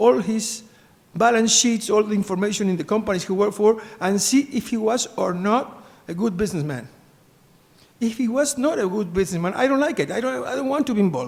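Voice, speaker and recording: A man's high-pitched voice with a Spanish accent and lively intonation. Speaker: business executive and sainthood postulator. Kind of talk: conference talk. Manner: halting.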